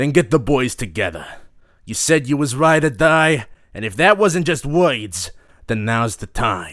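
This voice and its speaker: On a very clean recording with a silent background, a man performs a put-on character voice at medium pitch and a moderate pace. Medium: audio drama. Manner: hissing, defensive.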